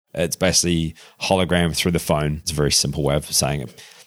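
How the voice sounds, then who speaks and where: The speaker is a man with a New Zealand accent. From Christchurch area, Canterbury. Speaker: augmented reality founder. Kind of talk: casual interview chat.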